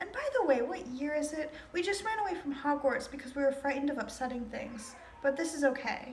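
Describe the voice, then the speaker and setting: Fairly quick and high-pitched, a woman talks with ordinary pitch variation over noticeable background noise. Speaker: amateur reader. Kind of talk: informal play reading. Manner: casual, hesitant, trips over words.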